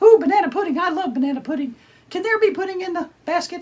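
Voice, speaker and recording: At a very fast pace, a man puts on a cartoonish character voice pitched extremely high. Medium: puppet. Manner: excitable, silly, comedic.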